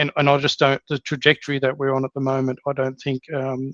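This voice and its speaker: Dry and close with no echo, a man with an Australian accent speaks at a fairly high pitch in a monotone, flat intonation. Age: 50s. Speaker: podcast host. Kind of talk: interview. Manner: halting, many fillers and repeats.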